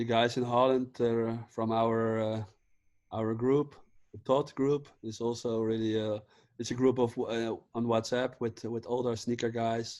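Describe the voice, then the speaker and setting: At a fairly slow pace, the speaker talks with monotone, flat intonation in a Dutch accent. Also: man, medium pitch for a man. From Netherlands, The Hague. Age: 30s. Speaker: vintage clothing seller. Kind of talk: casual chat. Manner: halting.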